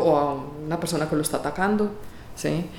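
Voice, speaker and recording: A woman talks at a moderate pace with ordinary pitch variation. Audible room echo and noticeable background noise are present. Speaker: music professor. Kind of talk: interview.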